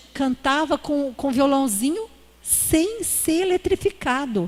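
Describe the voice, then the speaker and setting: At a fairly slow pace, a woman with a high pitch talks with very wide pitch swings. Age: 60s. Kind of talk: conference talk. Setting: church.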